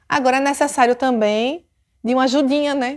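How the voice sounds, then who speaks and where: A woman speaks in a high voice with a strong Sergipe accent. The recording is very clean, with a silent background. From Brazil, Sergipe (Aracaju). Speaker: police chief. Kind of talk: personal storytelling. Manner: animated.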